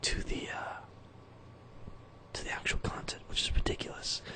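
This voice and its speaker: A man whispers at a fairly quick pace, breathy, over noticeable background noise. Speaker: musician. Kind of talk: casual talk to camera.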